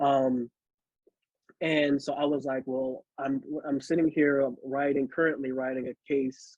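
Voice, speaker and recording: This man's voice sits at a medium pitch. He keeps a flat, monotone intonation throughout. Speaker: poet. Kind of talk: casual introduction to a poem.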